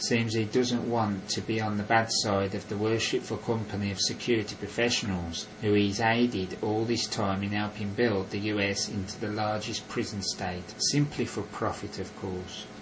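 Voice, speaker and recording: Over music in the background, a man with a Northern English accent speaks at a moderate pace in a monotone, flat voice with hardly any pauses. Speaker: conspiracy commentator. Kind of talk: voiceover narration.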